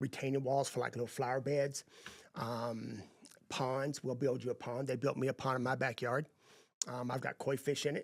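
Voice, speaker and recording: A man speaks with a Texan accent. His intonation is flat and monotone. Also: medium pitch for a man, moderate pace. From East Texas. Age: 50s. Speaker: landscaping business owner. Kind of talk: podcast interview.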